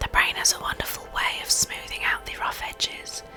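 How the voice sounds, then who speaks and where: Whispered words come at a moderate pace with music playing in the background. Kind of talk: reading game dialogue and narration aloud.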